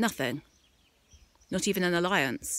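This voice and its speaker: A woman's fairly low voice at a fairly quick pace, dry with no echo. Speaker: vlogger. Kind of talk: casual vlog rant. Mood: frustrated, ranting. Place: street. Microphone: phone near.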